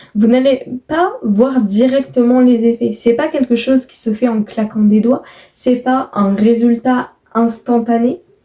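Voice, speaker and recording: A woman speaks very slowly in a high pitch, her tone calm, dark and mellow. Her intonation is fairly even, while her loudness swings widely. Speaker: YouTuber. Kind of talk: casual podcast-style monologue. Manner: deliberately calm, slowed pace.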